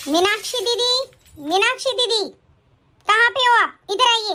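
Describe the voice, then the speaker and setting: A woman puts on a squeaky character voice at an extremely high pitch. She keeps to a moderate pace. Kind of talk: Hindi, calling from afar. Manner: shouting, calling loudly.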